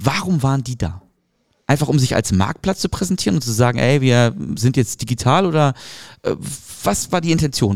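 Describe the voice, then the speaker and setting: A man's medium-pitched voice, fairly quick and with lively intonation. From Hamburg, northern Germany. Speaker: marketing podcast host. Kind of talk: casual chat.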